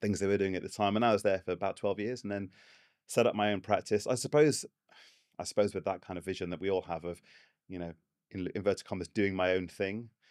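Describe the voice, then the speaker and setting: Someone speaks at a very fast pace in an English accent. The recording is very clean with a silent background. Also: man, fairly low pitch for a man, fairly even intonation. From England. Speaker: architect and practice owner. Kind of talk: podcast interview. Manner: hesitant, many fillers and repeats.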